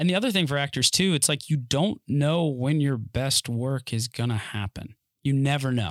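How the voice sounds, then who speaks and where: A plain, everyday voice: a man with an American accent, fairly high pitch, ordinary pitch variation and moderate pace, in a dry, close sound with no echo. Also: very clean recording, silent background. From North Carolina. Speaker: actor. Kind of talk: casual chat. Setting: studio.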